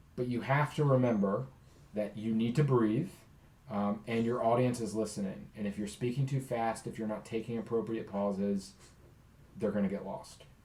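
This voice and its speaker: There is audible room echo around a man speaking at a moderate pace in a medium pitch. His tone is dark and mellow, with ordinary pitch variation. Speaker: college speech instructor. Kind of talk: recorded lecture.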